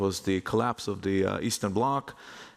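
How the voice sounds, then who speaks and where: With noticeable background noise behind him, a man with an Israeli accent speaks with ordinary pitch variation. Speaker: real estate investment executive. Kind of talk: conference panel talk.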